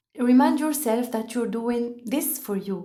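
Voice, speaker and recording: A woman's high-pitched voice with a French accent, in audible room echo. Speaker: podcast host. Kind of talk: motivational podcast monologue. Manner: carefully prepared, scripted delivery.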